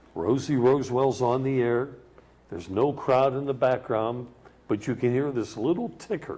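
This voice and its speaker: Speaking with an American accent, a man uses a medium pitch and ordinary pitch variation at a moderate pace, his tone dark and mellow. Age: 70s. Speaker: sports talk show host. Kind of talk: casual chat.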